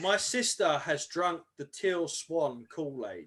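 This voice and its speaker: In an English accent, a man speaks with a high pitch. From England. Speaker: guest on esoteric talk show. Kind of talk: live-streamed casual chat. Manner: animated; loud.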